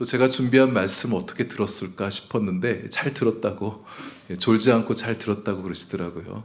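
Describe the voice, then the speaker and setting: This man talks at a fairly quick pace in a calm tone, his pitch fairly low with ordinary variation. Room echo is audible. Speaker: pastor. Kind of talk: sermon. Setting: church.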